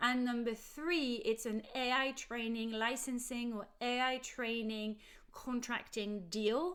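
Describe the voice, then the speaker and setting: A woman's high voice with a French accent, very slow in pace, passionate in tone, with ordinary pitch variation. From France, Paris. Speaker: legal adviser. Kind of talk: explainer video.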